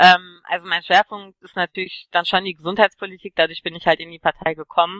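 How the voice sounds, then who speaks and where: A woman speaks at a medium pitch with a monotone, flat intonation. Her loudness swings widely, and there are hardly any pauses. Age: 30s. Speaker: political party candidate. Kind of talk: interview.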